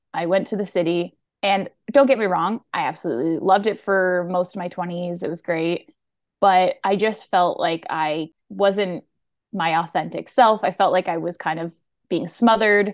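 A woman speaks in a plain, everyday voice at a medium pitch and moderate pace, with ordinary pitch variation over a quiet background. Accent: Canadian. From Ontario, Canada (Durham region near Toronto). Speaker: content creator. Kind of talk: casual chat.

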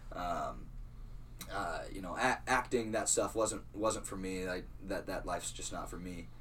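There is audible room echo as a man talks with an American accent. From Iowa, US Midwest. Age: 20s. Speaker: clothing brand founder. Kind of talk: casual interview. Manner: halting.

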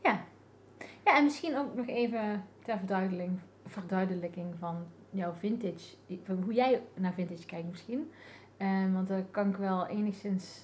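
Somewhat breathy speech moves at a fairly slow pace with ordinary pitch variation. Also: woman, medium pitch for a woman. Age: 40s. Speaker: graphic designer, vintage fashion entrepreneur. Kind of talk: casual interview chat. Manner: halting, many fillers.

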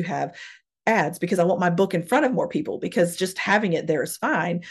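Over a quiet background, the voice is somewhat breathy and moves at a fairly quick pace. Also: woman. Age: 30s. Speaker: podcast host and author. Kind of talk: casual chat.

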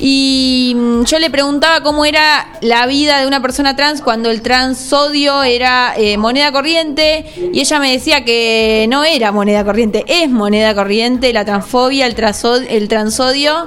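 A woman with a Rioplatense accent speaks at a fairly slow pace in a high voice, her loudness very even, with noticeable background noise behind her. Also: ordinary pitch variation. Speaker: radio host. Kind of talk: radio interview.

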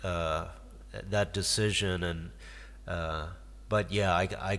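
Speaking very slowly with an American accent, a man uses a very deep, low pitch, vocal fry and lively intonation. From US Midwest, Detroit. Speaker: guitarist and songwriter. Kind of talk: casual interview. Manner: halting.

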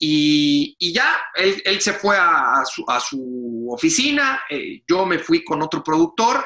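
His pitch rises and falls very widely. The man's voice sits high. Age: 30s. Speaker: sports journalist and commentator. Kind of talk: interview.

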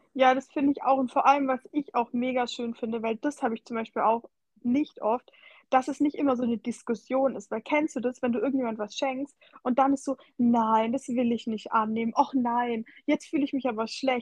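A woman's high voice at a moderate pace, fairly even in intonation, dry and close with no echo. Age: 20s. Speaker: podcast co-host and social media creator. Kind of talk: casual chat. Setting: remote call.

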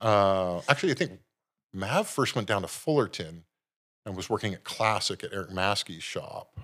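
With an American accent, a man speaks in a plain, everyday voice at a fairly low pitch and moderate pace, with ordinary pitch variation and big swings in loudness, on a very clean recording with a silent background. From US West Coast, San Jose, California. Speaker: tattoo artist. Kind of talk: interview conversation.

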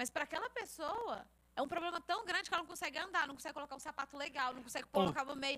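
Talking very fast, a woman uses a raised, projected voice at a high pitch. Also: lively intonation. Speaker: youth leader at church. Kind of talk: casual chat. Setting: studio.

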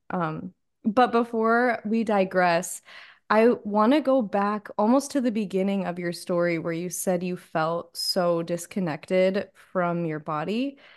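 A woman in a plain, everyday voice speaks fairly slowly at a medium pitch with ordinary pitch variation over a quiet background. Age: 20s. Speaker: podcast host and life coach. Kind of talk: casual interview chat.

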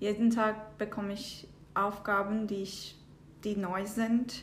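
Audible room echo surrounds a woman with a Turkish accent. Her fairly high pitch stays in a monotone, flat intonation. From southern Turkey. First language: Turkish (speaking German). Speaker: data analyst. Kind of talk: interview. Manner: halting, with hesitations.

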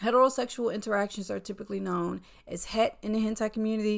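A woman speaks with an American accent at a medium pitch. Her intonation is lively, and the recording is very clean with a silent background. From US South. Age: 30s. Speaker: podcast host. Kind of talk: casual monologue.

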